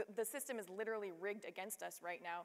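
Fairly even intonation from a woman speaker. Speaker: panelist. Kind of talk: panel discussion answer. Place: stage. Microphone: lapel.

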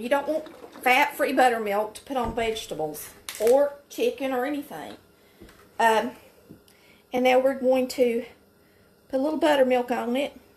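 With a Southern US accent, a woman speaks in a high voice at a moderate pace, showing ordinary pitch variation, big swings in loudness and long, frequent pauses. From Polk County, Georgia. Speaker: home cook. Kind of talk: cooking tutorial talk to camera. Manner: folksy, chatty. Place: kitchen.

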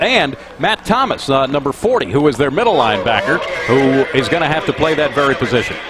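Over noticeable background noise, a man talks very fast at a fairly high pitch. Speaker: play-by-play commentator. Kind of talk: live commentary. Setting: outdoors.

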